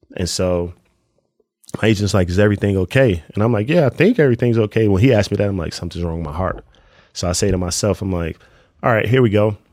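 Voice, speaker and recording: A man with a New Jersey accent, fairly low in pitch, talking very fast with ordinary pitch variation, on a very clean recording with a silent background. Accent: New Jersey urban American English. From Newark, New Jersey. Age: 30s. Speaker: professional basketball player. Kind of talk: casual interview conversation.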